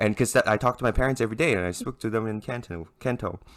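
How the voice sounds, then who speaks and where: A man with a bright, sharp tone. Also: very clean recording, silent background. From Hong Kong and Canada. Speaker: podcast co-host. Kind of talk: casual chat. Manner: animated storytelling.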